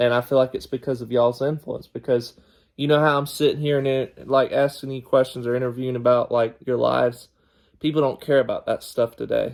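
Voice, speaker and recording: With a Southern US accent, a man talks at a fairly quick pace in monotone, flat intonation. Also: medium pitch for a man. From US South. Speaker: podcast host. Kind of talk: family interview.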